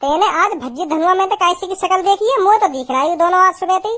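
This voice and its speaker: A woman uses a squeaky put-on character voice at an extremely high pitch and a very fast pace. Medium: cartoon. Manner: chatty.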